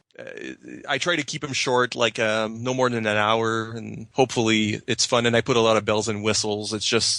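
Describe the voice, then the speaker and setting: Speaking at a moderate pace with a French Canadian accent, a man has a medium pitch, a bright, sharp tone and fairly even intonation against a quiet background. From Quebec, Canada. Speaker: podcaster and blogger. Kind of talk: casual chat.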